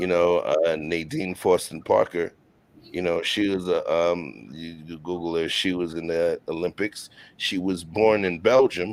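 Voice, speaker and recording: A man speaks at a fairly slow pace with a very deep, low pitch and fairly even intonation in a New York accent. The recording is very clean, with a silent background. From Brooklyn, New York. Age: 40s. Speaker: chef and show host. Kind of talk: casual interview chat.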